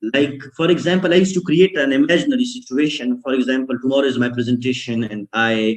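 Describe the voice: A man speaks at a fairly quick pace. His intonation is fairly even.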